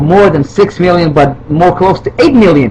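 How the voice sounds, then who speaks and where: A man with a non-native accent speaks at a moderate pace against noticeable background noise. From Israel. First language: Hebrew. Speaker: video responder. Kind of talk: heated rant. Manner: halting, many fillers.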